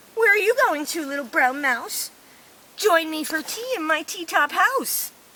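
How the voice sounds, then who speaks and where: An extremely high-pitched put-on character voice at a moderate pace. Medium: read story.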